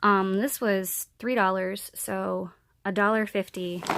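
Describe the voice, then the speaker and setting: A woman talks at a medium pitch. Her intonation stays fairly even. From central Pennsylvania. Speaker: vlogger. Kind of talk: product haul video. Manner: casual, chatty.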